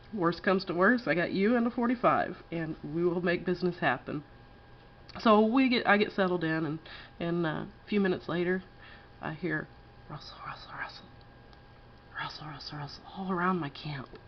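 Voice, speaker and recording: With a slight Texas accent, a woman speaks at a fairly low pitch and a moderate pace, with ordinary pitch variation and long, frequent pauses. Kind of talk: casual campfire story told to camera.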